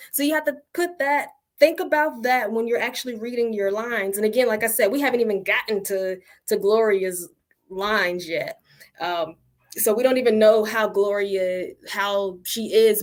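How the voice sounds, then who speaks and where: The speaker has an unremarkable speaking voice and a moderate pace. The intonation is lively. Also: woman, fairly high pitch for a woman. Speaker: acting teacher. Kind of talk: online tutorial. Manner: casual, with many fillers.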